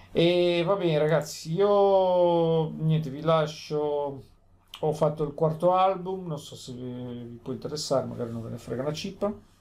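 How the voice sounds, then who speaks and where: With audible room echo and big swings in loudness, a man with a fairly high voice talks at a fairly slow pace and ordinary pitch variation. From Italy, Genoa (Liguria). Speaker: lotto vlogger. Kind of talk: casual vlog monologue. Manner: rambling, repetitive.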